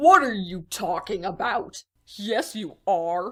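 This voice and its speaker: In a put-on character voice, a female-sounding speaker uses a middle pitch and a fairly slow pace. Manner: cool, mocking.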